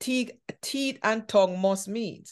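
A fairly slow pace from a woman over a quiet background. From Jamaica. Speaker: podcast host and speaker; podcast host, speaker. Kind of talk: casual chat. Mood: warm, humorous. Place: home room. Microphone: video call.

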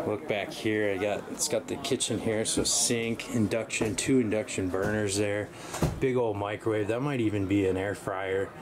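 Fairly even intonation from a man with a fairly low pitch, over noticeable background noise. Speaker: RV vlogger. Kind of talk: casual walkthrough commentary. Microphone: phone near.

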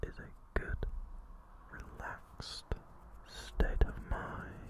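The speech is whispered and very slow. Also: man. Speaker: ASMR creator. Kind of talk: ASMR positive affirmations for relaxation and sleep. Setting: close microphone, cupped whispers. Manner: whispered, soft-spoken, slow. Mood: calm, reassuring.

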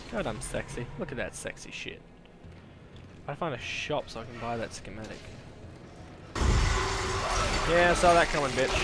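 At a moderate pace, a man with an Australian accent and a fairly high pitch speaks with lively intonation, big swings in loudness and long, frequent pauses, over noticeable background noise. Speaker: gamer. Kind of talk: live gameplay commentary. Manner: casual, joking.

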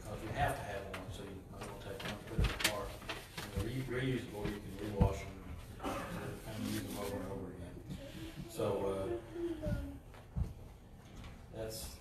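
A man talks at a moderate pace with ordinary pitch variation and long, frequent pauses. Loud background noise and audible room echo fill the recording. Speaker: pastor. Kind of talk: church announcements. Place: church. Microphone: camera far.

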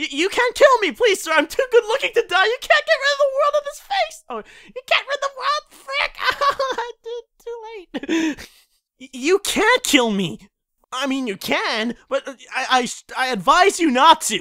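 The voice sits at an extremely high pitch with very wide pitch swings, moving at a moderate pace with long, frequent pauses. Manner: pleading, cocky.

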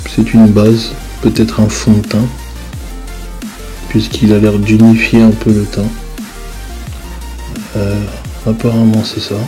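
Fairly slow speech broken by long, frequent pauses, with music in the background. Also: man. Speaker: husband doing voice-over for wife's makeup video. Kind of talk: casual improvised commentary over video, humorous. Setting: voice-over recorded over tutorial footage. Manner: bemused, joking, uninformed about makeup.

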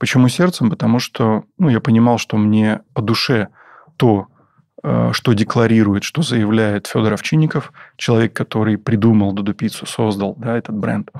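A man speaks at a moderate pace in a medium pitch with ordinary pitch variation, a plain, everyday voice. The sound is dry and close with no echo. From southern Russia, Taganrog. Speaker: business owner, restaurant franchisee. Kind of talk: interview. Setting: studio.

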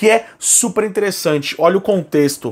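This man speaks at a fairly slow pace. His pitch is high, with ordinary variation. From Brazil. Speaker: YouTuber, metal album reviewer. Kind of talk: casual album review vlog. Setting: at home. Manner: animated. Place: home room.

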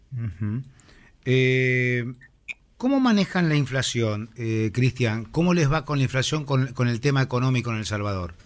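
Talking at a fairly slow pace, the man lets his pitch vary in an ordinary way. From Argentina. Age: 50s. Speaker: radio host. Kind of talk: radio interview. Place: studio. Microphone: studio mic.

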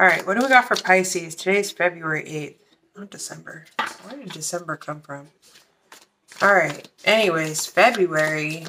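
A woman's voice with big swings in loudness amid noticeable background noise. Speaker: tarot reader. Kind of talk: casual reading commentary. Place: home room. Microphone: phone near.

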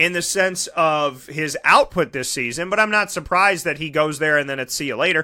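Fairly quick speech from a man at a fairly high pitch, with ordinary pitch variation and hardly any pauses. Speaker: sports talk show host. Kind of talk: casual talk show and interviews. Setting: studio. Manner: animated.

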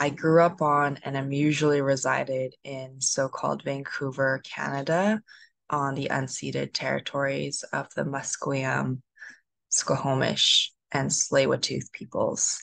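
Recorded dry with no echo over a quiet background, a woman speaks at a fairly slow pace. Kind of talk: panel self-introduction. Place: home room. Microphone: video call.

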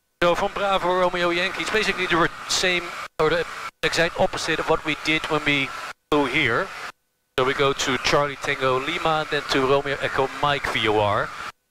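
A man speaks at a moderate pace with ordinary pitch variation and very even loudness, in a dry sound with no echo but noticeable background noise. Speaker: pilot vlogger. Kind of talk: casual vlog chat. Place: plane. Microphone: headset.

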